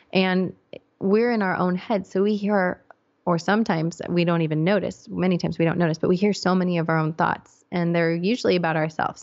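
An ordinary speaking voice with an American accent, fairly quick pace and fairly even intonation. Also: woman. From England, with childhood years in the US. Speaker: psychologist and podcast host. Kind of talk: interview.

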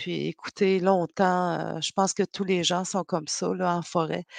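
Against a quiet background, a woman talks at a medium pitch in a dry, close sound with no echo. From Quebec North Shore, Innu community. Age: 50s. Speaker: novelist and poet. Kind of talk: interview.

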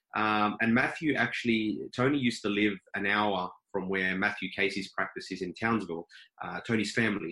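A man with an Australian accent, fairly low pitch, a bright, sharp tone, fairly even intonation and a moderate pace. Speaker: dentist. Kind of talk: casual interview.

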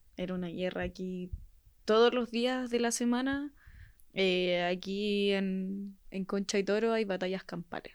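A woman with an unremarkable speaking voice talks at a fairly slow pace, her medium pitch held in a fairly even intonation. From Chile, Puente Alto. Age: young. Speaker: protest injury victim. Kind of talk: testimony.

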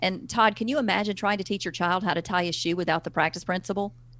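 In a very clean recording with a silent background, a woman with a Southern US accent speaks at medium pitch with ordinary pitch variation. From US South. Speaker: parenting author and speaker. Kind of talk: interview.

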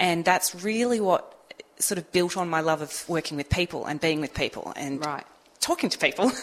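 Against noticeable background noise, a woman with an Australian accent speaks at a fairly low pitch with ordinary pitch variation. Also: moderate pace. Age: 40s. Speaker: motivational speaker and trainer. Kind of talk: casual radio interview chat. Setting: community radio studio.

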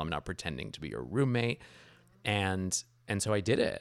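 A man speaks at a moderate pace with a very deep, low pitch and vocal fry. The recording is very clean, with a silent background. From New York area, after Iran, Paris, Toronto. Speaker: novelist and screenwriter. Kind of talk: interview.

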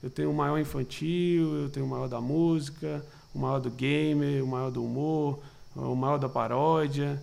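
A man's fairly high, monotone voice with flat intonation, at a fairly slow pace, with audible room echo. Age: 20s. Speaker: talent manager for digital influencers. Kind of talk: casual interview.

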